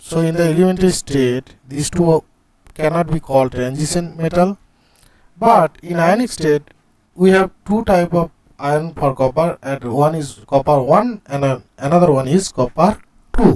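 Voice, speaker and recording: A man with an Indian accent speaks at a fairly high pitch with ordinary variation. The sound is dry and close, with no echo. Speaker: chemistry teacher. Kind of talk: lecture. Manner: slow.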